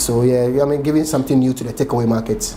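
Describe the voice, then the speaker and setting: Against noticeable background noise, a man with a Ghanaian accent speaks at a medium pitch with fairly even intonation. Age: 30s. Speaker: chef and restaurant owner. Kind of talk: oral history interview answer.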